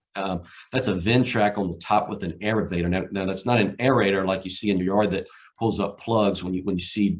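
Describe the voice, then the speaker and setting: With a Southside Virginia accent, a man talks at a fairly quick pace, his fairly low voice held in fairly even intonation. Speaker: erosion control practitioner. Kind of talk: conference presentation. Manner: halting, many fillers and repetitions.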